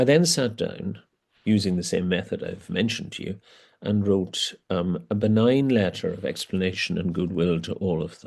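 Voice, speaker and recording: With a Northern Irish accent and lively intonation, a man talks over a quiet background. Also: fairly low pitch for a man, moderate pace. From Northern Ireland, border area. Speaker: archbishop. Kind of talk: interview conversation. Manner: hesitant, with many fillers.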